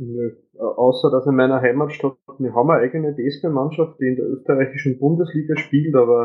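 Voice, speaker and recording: A man speaks at a moderate pace with an Austrian accent. His pitch sits in the middle, and his intonation stays fairly even. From Upper Austria. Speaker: podcast guest. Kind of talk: casual chat.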